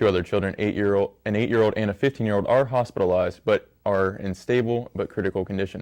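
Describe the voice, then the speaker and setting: This man talks very fast with hardly any pauses, in an American accent, at a fairly low pitch and with fairly even intonation. The recording is very clean, with a silent background. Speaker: college student news anchor. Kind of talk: newscast story reading.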